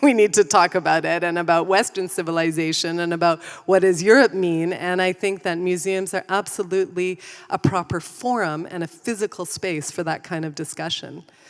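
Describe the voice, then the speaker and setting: A woman with an ordinary speaking voice and a Canadian accent speaks at a fairly quick pace in a fairly low pitch, her intonation fairly even. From Canada. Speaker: museum consultant. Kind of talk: panel discussion.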